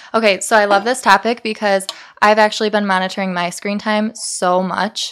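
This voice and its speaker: On a very clean recording with a silent background, a woman speaks at a moderate pace and medium pitch in a monotone, flat delivery. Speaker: podcast host. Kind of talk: casual chat.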